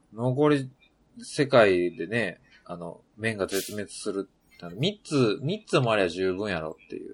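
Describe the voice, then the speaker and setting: In a plain, everyday voice, a man speaks at a fairly low pitch and a fairly slow pace, with lively intonation and big swings in loudness. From Yamaguchi, Japan. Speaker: podcast co-host. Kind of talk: casual chat.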